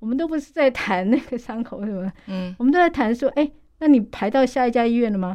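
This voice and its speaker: Over a quiet background, a woman speaks at a very fast pace, high-pitched with lively intonation and a dark, mellow tone. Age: 50s. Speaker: nonprofit association director. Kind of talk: radio interview.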